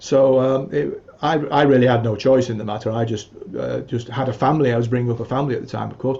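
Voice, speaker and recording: Medium in pitch and fairly even in intonation, a man talks very fast. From England. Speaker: musician and music teacher. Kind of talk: interview conversation. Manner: hesitant, many fillers.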